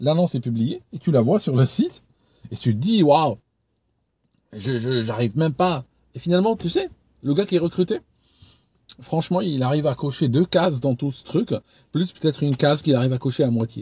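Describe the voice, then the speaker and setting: A man with a fairly high pitch and a somewhat breathy, dark, mellow tone speaks at a moderate pace, with long, frequent pauses and big swings in loudness. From Switzerland, canton of Vaud. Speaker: YouTuber, former recruiter. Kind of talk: casual advice talk to camera. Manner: hesitant, many repetitions; animated, acts out scenes.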